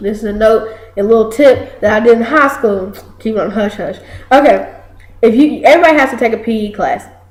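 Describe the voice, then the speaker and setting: A woman speaks at a fairly quick pace in a fairly high voice with ordinary pitch variation, over noticeable background noise. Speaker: college student, video co-host. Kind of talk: casual chat. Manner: loud; animated.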